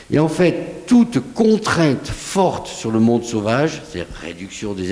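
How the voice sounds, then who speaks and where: A man with a southwestern French accent speaks with very wide pitch swings, amid noticeable background noise and audible room echo. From southwest France. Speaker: scientist, researcher. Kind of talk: conference talk, Q&A answer. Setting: conference hall with audience. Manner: animated, conversational.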